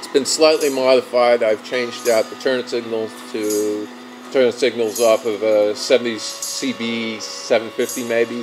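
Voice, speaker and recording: The music in the background sits behind a man speaking. He keeps a medium pitch and a fairly slow pace. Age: 20s. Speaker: motorcycle vlogger. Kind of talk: casual monologue.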